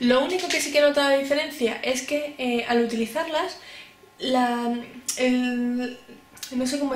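Audible room echo surrounds a woman speaking at a high pitch in a Spanish accent. Her pitch variation is ordinary. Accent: Peninsular Spanish. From Spain. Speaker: beauty YouTuber. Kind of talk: product review vlog. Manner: cheerful, chatty. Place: home room. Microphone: camera far.

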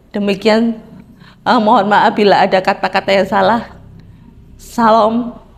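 Loudness stays very even, and intonation is monotone and flat. The pace is fairly slow, with long, frequent pauses. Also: woman, fairly high pitch for a woman. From Central Java. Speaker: churchgoer giving a testimony. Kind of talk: testimony; personal testimony. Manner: halting. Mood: earnest, calm. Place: studio. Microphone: lapel.

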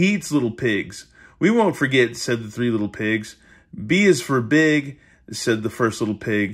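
There is a quiet background as a man talks at a fairly slow pace. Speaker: YouTube storyteller. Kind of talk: bedtime story reading. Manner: playful, animated, chatty; casual, laughing, ad-libbing asides. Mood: playful, joking asides. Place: home room. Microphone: phone near.

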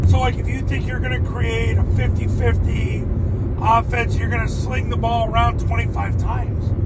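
A man talks fairly slowly while loud noise fills the background. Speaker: sport psychology coach. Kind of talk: casual coaching monologue. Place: car. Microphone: phone near.

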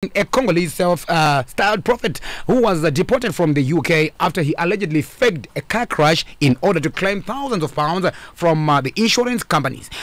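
A man speaks at a fairly quick pace with a high pitch and very even loudness. The sound is dry, with no echo. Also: lively intonation. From Zimbabwe. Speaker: radio and YouTube interviewer, DJ. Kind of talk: interview; introduction. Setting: radio studio. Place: studio. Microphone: studio mic.

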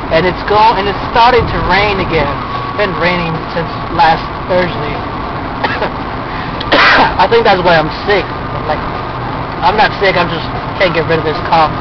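Amid loud background noise, the voice moves at a moderate pace with ordinary pitch variation and long, frequent pauses, the sound dry with no echo. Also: man. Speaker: driver vlogger. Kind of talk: casual vlog chat. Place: car. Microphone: phone near.

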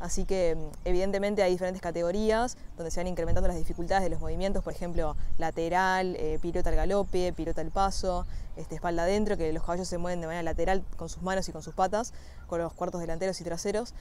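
In a dry sound with no echo and light background noise, a woman talks at a very fast pace in a fairly low, monotone, flat voice. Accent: Uruguayan. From Uruguay, Montevideo area; Uruguay. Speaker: equestrian athlete (dressage). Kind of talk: personal testimony. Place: farm machine.

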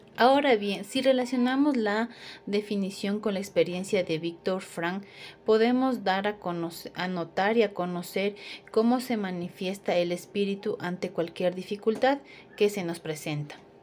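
At a fairly slow pace, a woman speaks at a medium pitch with ordinary pitch variation over light background noise. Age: 30s. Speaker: accounting student. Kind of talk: class presentation. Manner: slightly halting. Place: home room. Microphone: phone near.

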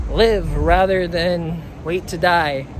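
There is no echo and the sound is dry, but the background noise can be clearly heard. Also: man. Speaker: travel vlogger. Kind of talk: casual vlog chat. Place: street. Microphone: phone near.

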